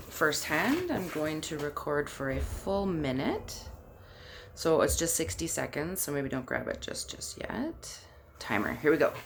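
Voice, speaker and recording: A woman talks at a fairly slow pace. Noticeable background noise and audible room echo are present. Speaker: labor and delivery nurse, childbirth educator. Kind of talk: guided exercise instruction. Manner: conversational, with fillers; loud.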